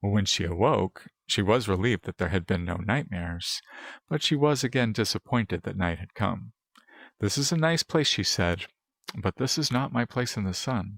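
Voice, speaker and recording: Fairly low-pitched male speech at a moderate pace with lively intonation, in a very clean recording with a silent background and a dry, close sound with no echo. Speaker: ASMR roleplay performer. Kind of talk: bedtime story read.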